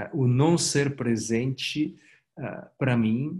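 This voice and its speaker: Very slow in pace, a man speaks with ordinary pitch variation. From Italy. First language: Italian (speaking Portuguese). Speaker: company executive. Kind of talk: interview. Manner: halting, many repetitions and fillers.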